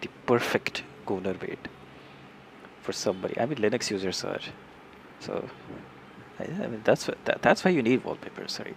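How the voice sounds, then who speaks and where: Over noticeable background noise, a man with an Indian accent talks at a moderate pace and medium pitch, his pitch swinging very widely and his loudness in big swings, with long, frequent pauses. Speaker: software developer streamer. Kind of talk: live coding tutorial. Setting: live stream. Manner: halting, many repetitions.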